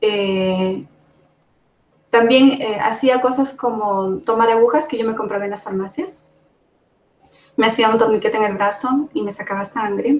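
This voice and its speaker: A woman speaks at a fairly high pitch with ordinary pitch variation. Long, frequent pauses run through her speech. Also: fairly slow pace. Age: 40s. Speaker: summit panelist sharing personal experience. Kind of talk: testimony.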